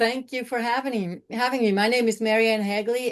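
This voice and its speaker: At a moderate pace, a woman speaks in an unremarkable speaking voice pitched fairly high, against a quiet background. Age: 60s. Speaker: training director. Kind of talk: webinar panel introduction. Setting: video call.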